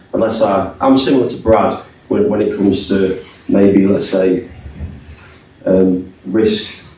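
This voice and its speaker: In a room with audible echo and noticeable background noise, a man speaks fairly slowly at a fairly low pitch, very even in loudness, with long, frequent pauses. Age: 50s. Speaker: trader and business owner. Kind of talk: panel discussion at live event. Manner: halting, many fillers.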